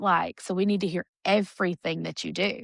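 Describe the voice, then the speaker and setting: Speaking at a very fast pace with a Southern accent, a woman uses fairly even intonation and vocal fry against a quiet background. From Alabama, Warrior. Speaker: singer and TV talent show contestant. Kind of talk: interview. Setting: studio.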